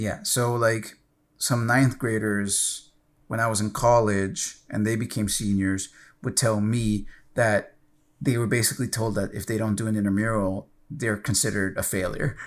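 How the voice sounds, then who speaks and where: Delivery comes at a moderate pace in an unremarkable speaking voice, the intonation fairly even. Nothing sounds behind it, as the recording is very clean with a silent background. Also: man, fairly low pitch for a man. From Maryland, US. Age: 30s. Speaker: gaming podcast co-host. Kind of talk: casual chat.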